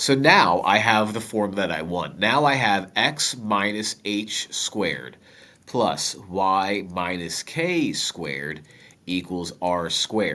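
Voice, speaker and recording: Lively intonation and a bright, sharp tone at a very slow pace. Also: man, fairly low pitch for a man. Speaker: math teacher. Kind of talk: tutorial. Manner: casual, joking.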